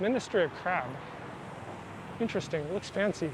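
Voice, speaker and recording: With an American accent, a man speaks at a moderate pace in a high pitch with ordinary pitch variation, over noticeable background noise. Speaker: travel vlogger. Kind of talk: casual vlog narration.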